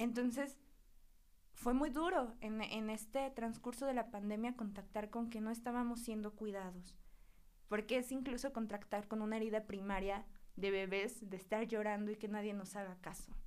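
The woman's voice is fairly high in pitch. Her intonation stays fairly even. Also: moderate pace. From Mexico, Huauchinango, Puebla. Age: 20s. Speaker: psychotherapist. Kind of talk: casual interview chat.

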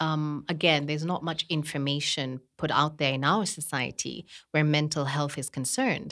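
A woman talks with a very deep, low pitch and hardly any pauses. The recording is very clean, with a silent background. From Kenya, partly raised abroad including India. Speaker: podcast co-host and media worker. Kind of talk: casual chat.

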